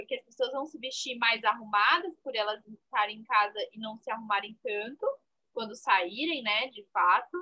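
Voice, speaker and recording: Moderate pace and ordinary pitch variation in a normal speaking voice, loudness swinging widely. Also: woman, fairly high pitch for a woman. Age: 20s. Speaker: fashion podcast co-host. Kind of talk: casual chat.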